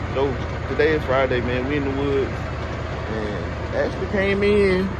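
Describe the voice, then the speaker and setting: Loud background noise surrounds a man recorded in a dry sound with no echo. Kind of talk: casual vlog chat. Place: forest. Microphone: phone near.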